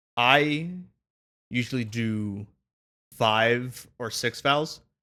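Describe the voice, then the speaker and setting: A man's medium-pitched, bright, sharp voice with ordinary pitch variation. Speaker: music production tutorial maker. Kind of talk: tutorial. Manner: casual, hesitant with many fillers.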